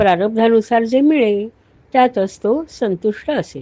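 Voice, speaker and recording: Her pitch fairly high, a woman speaks with lively intonation. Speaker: audiobook narrator. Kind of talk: audiobook narration of scripture.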